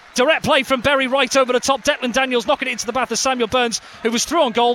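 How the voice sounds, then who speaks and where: An energetic, raised and projected man's voice at an extremely high pitch and very fast pace, with noticeable background noise. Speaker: football match commentator. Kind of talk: live football commentary. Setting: stadium commentary for radio. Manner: fast, energetic play-by-play delivery; rising excitement at goals and near misses.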